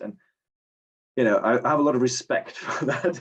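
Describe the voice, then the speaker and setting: This is a man speaking. He moves at a fairly quick pace. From Germany. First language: German. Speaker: short story writer, contest winner. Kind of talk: casual interview. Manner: halting, many repetitions. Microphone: connection issues.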